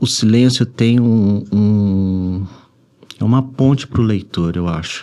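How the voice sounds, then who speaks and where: Soft-spoken and very slow, a man talks in a dark, mellow tone at a fairly low pitch with ordinary pitch variation. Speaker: writer. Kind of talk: interview. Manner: halting.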